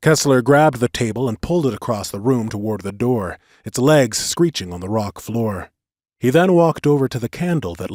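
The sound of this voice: The intonation is lively in this unforced reading voice, with quiet behind it.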